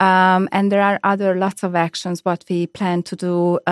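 A woman at medium pitch with a Hungarian accent and monotone, flat intonation, on a very clean recording with a silent background and a dry, close sound with no echo. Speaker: head of human resources. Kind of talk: interview. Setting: studio. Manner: halting.

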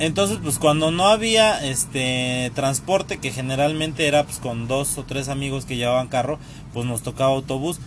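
There is noticeable background noise behind this man. He speaks at a medium pitch and moderate pace with ordinary pitch variation. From Mexico City area, Tlalnepantla. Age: 30s. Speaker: podcast host. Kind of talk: casual storytelling monologue. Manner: animated, laughing.

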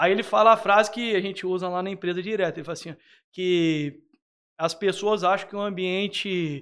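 On a very clean recording with a silent background, a man speaks at a moderate pace. His pitch is high and his intonation fairly even. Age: 30s. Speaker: construction company owner. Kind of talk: casual interview.

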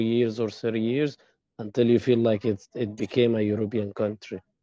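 At a fairly quick pace, a man talks in a dark, mellow tone with monotone, flat intonation. The recording is dry and close with no echo, against a quiet background. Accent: Arabic. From Egypt. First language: Arabic. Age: 20s. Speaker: former medical student. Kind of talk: interview.

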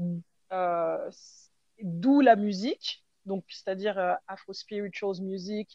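A woman at a medium pitch, with a dark, mellow tone, ordinary pitch variation, and a dry, close sound with no echo. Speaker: hip-hop dancer and choreographer. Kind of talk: interview. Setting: remote call. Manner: hesitant, many fillers.

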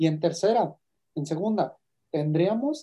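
Speaking in a Mexican accent, a man with a high pitch and a dark, mellow tone goes at a fairly slow pace with ordinary pitch variation. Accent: Mexican Spanish (Jalisco). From Mexico, Guadalajara, Jalisco. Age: 30s. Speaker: university program coordinator. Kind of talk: interview.

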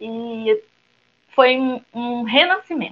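This woman speaks at a fairly high pitch. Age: 30s. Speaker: teacher and new doula. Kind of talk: panel discussion.

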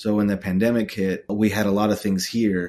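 Fairly low in pitch, a man with an American accent speaks at a moderate pace in an unremarkable speaking voice with fairly even intonation. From Texas, Austin. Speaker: photographer and director. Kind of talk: casual interview chat.

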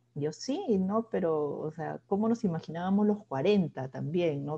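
A woman talks in a somewhat breathy, dark, mellow tone at a fairly low pitch. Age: 30s. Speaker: podcast co-host, newspaper journalist. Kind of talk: casual chat.

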